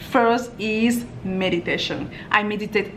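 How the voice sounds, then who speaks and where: Fairly even intonation comes with a French accent. The recording has audible room echo and noticeable background noise. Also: woman. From France. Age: young. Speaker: lifestyle vlogger. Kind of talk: Q&A vlog.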